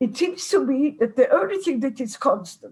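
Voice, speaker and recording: Her high voice moves with lively intonation as a woman talks at a fairly slow pace. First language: not English. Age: 90s. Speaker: psychotherapist. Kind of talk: lecture. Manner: halting.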